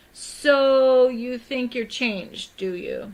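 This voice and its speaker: Using a put-on character voice, a woman speaks very slowly at a high pitch with ordinary pitch variation. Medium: read story. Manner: curt, short remarks.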